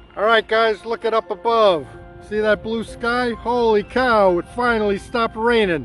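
Over faint background music, a man talks at a moderate pace in a dry recording with no echo. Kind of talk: casual vlog chat. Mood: cheerful, enthusiastic. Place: garden. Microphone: phone near.

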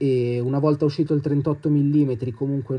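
A man speaks against a quiet background. His tone is dark and mellow, and somewhat breathy. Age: 20s. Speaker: watch enthusiast. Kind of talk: video presentation.

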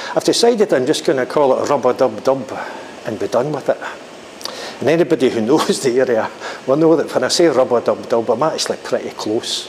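A man talks at a fairly quick pace with ordinary pitch variation against light background noise. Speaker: hiking vlogger. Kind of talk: casual vlog chat. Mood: jokey, relaxed. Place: bathroom. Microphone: lapel.

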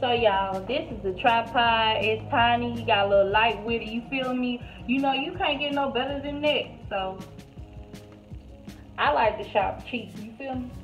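A woman at a moderate pace with ordinary pitch variation and big swings in loudness, faint music in the background. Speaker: home cook vlogger. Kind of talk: casual vlog chat. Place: kitchen. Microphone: phone near.

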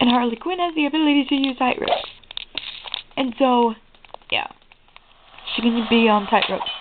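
A woman's high-pitched voice with long, frequent pauses over noticeable background noise. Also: lively intonation, fairly quick pace. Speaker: gaming video creator. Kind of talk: let's play commentary. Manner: animated.

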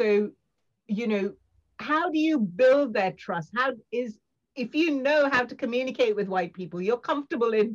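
A voice speaks at a moderate pace against a quiet background. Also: woman. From India (Mumbai), moved to UK at 13; India. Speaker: scientist and diversity advocate; guest. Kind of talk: interview. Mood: reflective, earnest. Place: home room. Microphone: video call.

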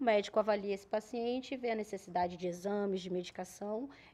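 Her tone is dark and mellow. The woman keeps to a moderate pace. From Paraná, southern Brazil. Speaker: nurse, emergency unit coordinator; guest. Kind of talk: TV talk show interview. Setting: TV studio, live broadcast. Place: studio. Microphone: studio mic.

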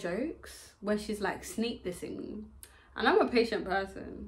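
Ordinary pitch variation at a fairly slow pace. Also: woman. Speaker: channel host or guest. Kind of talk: casual chat storytelling. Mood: animated personal anecdote. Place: home room. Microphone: camera far.

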